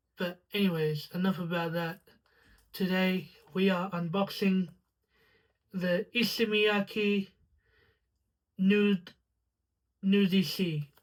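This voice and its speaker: Very slow, monotone delivery with flat intonation and long, frequent pauses. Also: woman, medium pitch for a woman. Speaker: fragrance reviewer. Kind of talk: casual unboxing review.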